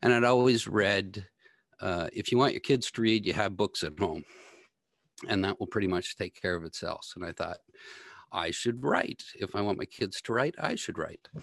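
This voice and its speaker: A man with a Canadian accent and a plain, everyday voice, fairly low in pitch with ordinary pitch variation, at a moderate pace, in a dry, close sound with no echo over a quiet background. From Ontario, Canada. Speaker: energy policy blogger and data analyst. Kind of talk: interview.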